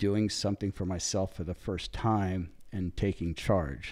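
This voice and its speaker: In a very clean recording with a silent background, a man with a Californian accent speaks at a fairly slow pace in a very deep, low voice. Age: 60s. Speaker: big wave surfer. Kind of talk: interview storytelling. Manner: animated.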